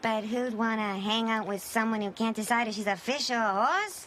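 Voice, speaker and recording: A woman does a cartoonish character voice at a fairly high pitch over clear background noise. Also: moderate pace, fairly even intonation. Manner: wisecracking, brash.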